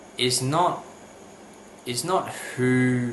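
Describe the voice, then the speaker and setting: This man talks at a very slow pace, his pitch medium for a man. Audible room echo and noticeable background noise fill the recording. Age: 20s. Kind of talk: personal testimony to camera. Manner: halting, many fillers.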